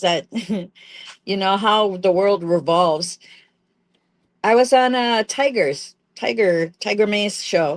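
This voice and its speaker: Against a quiet background, a woman talks at a fairly slow pace with medium pitch and lively intonation. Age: 60s. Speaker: podcast co-host. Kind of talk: casual chat.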